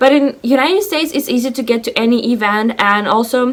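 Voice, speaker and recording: A woman speaks in a high pitch. She has a Russian accent. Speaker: lifestyle vlogger. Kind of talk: casual vlog monologue. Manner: animated.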